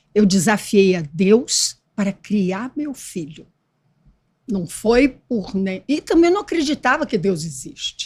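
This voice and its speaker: Speaking at a very slow pace, a woman has a fairly high, somewhat breathy voice with very wide pitch swings. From Brazil, Espírito Santo (Vila Velha). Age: 80s+. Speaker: former actress, author. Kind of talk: interview testimony.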